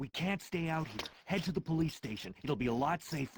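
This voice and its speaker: A put-on character voice speaks at a middle pitch and a fairly quick pace. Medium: video game.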